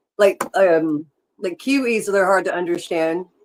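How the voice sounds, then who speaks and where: A woman speaks with an American accent. She keeps a fairly slow pace. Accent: Southern US, worked on over the years. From US South. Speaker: podcast co-host. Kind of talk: casual chat.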